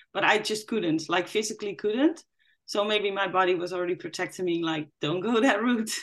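A woman with a Dutch accent talks at a fairly quick pace. Her pitch sits in the medium range, with ordinary pitch variation. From Netherlands. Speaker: dance yoga teacher, guest sharing lived experience. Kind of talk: testimony.

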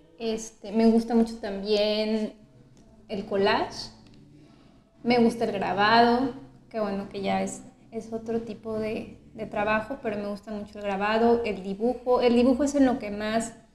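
Amid noticeable background noise, a woman speaks at a fairly high pitch and a fairly slow pace, with monotone, flat intonation and big swings in loudness. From Mexico City. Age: 30s. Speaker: painter and art teacher. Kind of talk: interview. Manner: measured, thoughtful.

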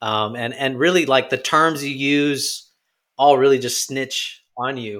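At a fairly slow pace, a man talks at a medium pitch with fairly even intonation and a normal speaking voice. The recording is very clean, with a silent background. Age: 30s. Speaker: writer and religion student. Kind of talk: casual chat. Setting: studio.

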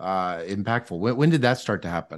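In a quiet background, a man talks with an American accent. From US South, Mississippi. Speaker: podcast host, economics professor. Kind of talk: interview conversation. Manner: halting, many fillers and restarts.

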